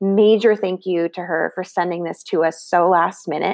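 A warm, enthusiastic tone with ordinary pitch variation comes through dry and close with no echo, on a very clean recording with a silent background. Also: woman. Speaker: podcast host. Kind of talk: casual intro and outro.

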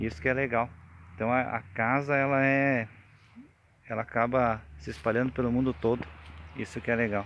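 Here a man speaks with a medium pitch and ordinary pitch variation at a moderate pace. He leaves long, frequent pauses. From Rio Grande do Sul, Brazil. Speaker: beekeeper and spiritual group member giving testimony. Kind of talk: testimony. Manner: halting.

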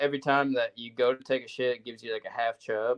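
Moving at a fairly quick pace, a man at medium pitch has a plain, everyday voice. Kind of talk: casual banter.

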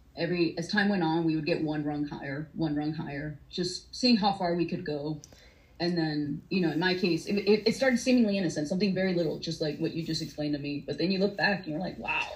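Very fast and somewhat breathy, this voice has an American accent and ordinary pitch variation. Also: woman, fairly low pitch for a woman. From US South, Atlanta, Georgia. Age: 30s. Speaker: domestic abuse survivor. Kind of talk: testimony.

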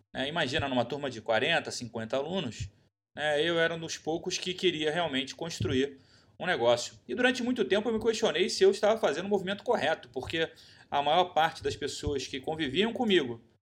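A man speaks with a Brazilian accent. His intonation is lively. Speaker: podcast host. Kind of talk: solo podcast monologue.

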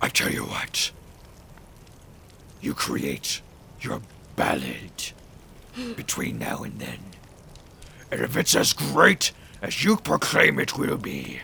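Over clear background noise, a man speaks in a raspy, put-on character voice at a fairly slow pace, with long, frequent pauses. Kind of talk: tabletop character acting. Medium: actual play. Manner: solemn, theatrical.

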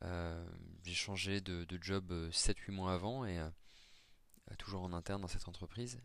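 A man with a very deep, low pitch speaks at a fairly slow pace with fairly even intonation and long, frequent pauses. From France, Nancy (Lorraine). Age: 30s. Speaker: professional in career transition. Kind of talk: testimony. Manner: halting, many repetitions and fillers.

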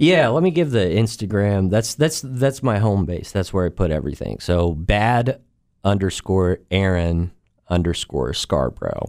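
A man with a fairly low pitch and a normal speaking voice talks at a fairly slow pace with lively intonation, in a very clean recording with a silent background. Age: 30s. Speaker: comedian. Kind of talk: casual chat.

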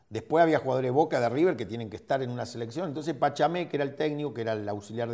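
Ordinary pitch variation marks speech delivered at a very fast pace. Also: man. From Argentina. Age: 50s. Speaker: football coach and former player. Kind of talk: interview.

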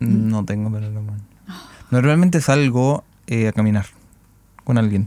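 A man with a Chilean accent speaks at a fairly slow pace, his medium pitch carrying a dark, mellow tone. His pitch varies in an ordinary way, broken by long, frequent pauses. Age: 20s. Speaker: podcast host. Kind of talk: casual chat.

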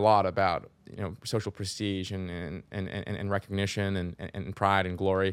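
The recording is very clean, with a silent background. A man speaks at a moderate pace in a fairly low pitch. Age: 20s. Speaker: philosophy lecturer and startup founder. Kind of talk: casual chat. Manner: halting, many repeated words.

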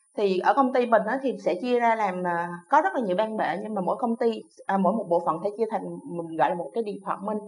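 The speech moves at a very fast pace with ordinary pitch variation. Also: woman, medium pitch for a woman. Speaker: VFX lighting team leader. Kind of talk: interview.

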